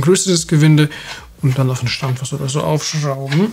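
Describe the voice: A man's fairly high voice with a slightly mellow tone and a slightly husky edge, at a fairly quick pace.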